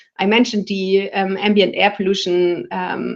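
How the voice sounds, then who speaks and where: In a quiet setting, a woman's medium-pitched voice carries vocal fry. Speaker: public health researcher. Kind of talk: lecture.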